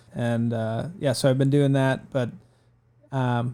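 A man speaks at a fairly slow pace in a dark, mellow tone with an Upper Midwest accent, his medium pitch held to fairly even intonation. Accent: Upper Midwest American. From Northern Michigan, Traverse City. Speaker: amateur marathon runner. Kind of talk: casual chat. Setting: studio.

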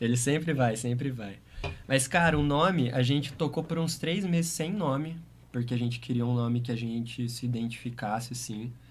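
A somewhat breathy man speaks at a medium pitch and a moderate pace with ordinary pitch variation, and room echo is audible. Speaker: DJ and music producer. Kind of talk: casual interview.

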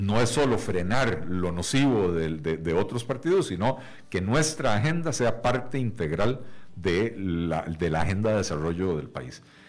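A man's fairly low voice at a fairly slow pace, with very wide pitch swings and audible room echo. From Costa Rica. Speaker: economist and party leader. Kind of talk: radio interview. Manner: hesitant, many fillers and repetitions.

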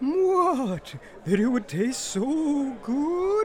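High-pitched, put-on character voice over clear background noise

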